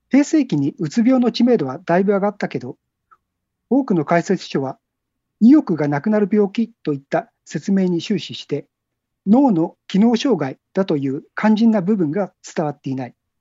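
A woman's medium-pitched voice with very wide swings in pitch. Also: moderate pace. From Tokyo area, Japan. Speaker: book cover designer. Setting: phone call.

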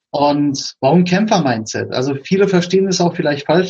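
A man's somewhat breathy voice comes at a fairly quick pace. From Berlin, Germany. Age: 40s. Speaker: podcast host. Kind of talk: casual interview chat.

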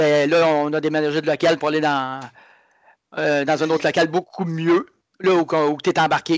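Moderate pace, monotone and flat intonation, in a Quebec accent, with a dry, close sound, no echo and a quiet background. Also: man. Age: 30s. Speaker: martial arts instructor. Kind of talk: casual chat.

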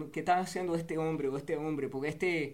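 In audible room echo, a man with an English accent speaks at a high pitch. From New Jersey, US, Cuban family. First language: English (speaking Spanish). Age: 30s. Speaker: war veteran and football coach. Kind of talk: casual interview chat.

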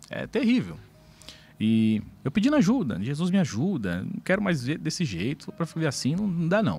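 A man speaks in a fairly high pitch at a moderate pace, with very wide pitch swings. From São Paulo, Brazil (south zone). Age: 40s. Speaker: pastor. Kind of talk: testimony.

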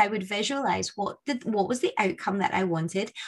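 A woman with a Scottish accent speaks at a moderate pace. Her voice is somewhat breathy, with lively intonation. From Scotland. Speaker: podcast host. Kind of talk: interview.

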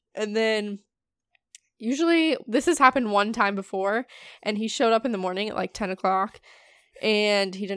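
This woman speaks at a moderate pace in a fairly high pitch with an animated, playful tone, recorded very cleanly against a silent background with a dry, close sound and no echo. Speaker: podcast host. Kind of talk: casual chat. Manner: animated, playful, laughs often.

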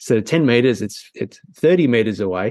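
With an Australian accent, a man speaks using lively intonation. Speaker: photography teacher.

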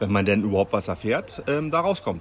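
A man's voice with very wide pitch swings and a fairly quick pace, over noticeable background noise. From Berlin, Germany. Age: 40s. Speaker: local resident and petition initiator. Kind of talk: interview. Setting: recorded while on holiday in Sardinia.

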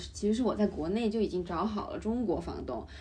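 This woman's voice has vocal fry and a fairly high pitch. She talks at a fairly quick pace with lively intonation. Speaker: international student. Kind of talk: casual chat.

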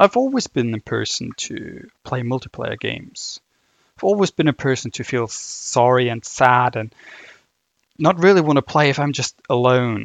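At a moderate pace, a man speaks in a medium pitch with ordinary pitch variation. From Germany. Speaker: podcaster. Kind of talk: solo casual monologue, rambling.

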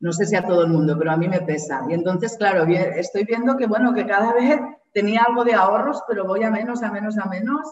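Medium-pitched woman at a fairly quick pace, lively in intonation, with audible room echo. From Spain, Barcelona. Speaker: Spanish teacher. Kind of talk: interview.

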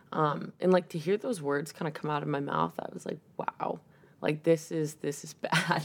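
A woman with an American accent talks at a moderate pace in a very deep, low voice with vocal fry, ordinary pitch variation and big swings in loudness. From Massachusetts, south of Boston. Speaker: college softball player. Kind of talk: interview about mental health. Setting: in person recording.

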